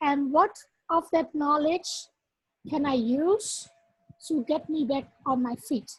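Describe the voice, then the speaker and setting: Speaking at a very slow pace, a woman with a Dutch accent uses a high pitch and ordinary pitch variation. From Netherlands and Suriname. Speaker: workshop facilitator. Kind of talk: workshop talk with personal testimony.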